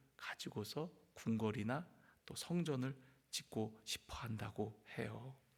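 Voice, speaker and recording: Somewhat breathy, a man speaks very slowly with very wide pitch swings. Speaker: pastor. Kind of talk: sermon. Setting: church.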